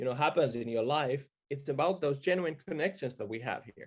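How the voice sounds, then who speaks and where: This man has an unremarkable speaking voice with a fairly high pitch. His pitch variation is ordinary. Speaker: marketing expert. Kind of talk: webinar panel talk.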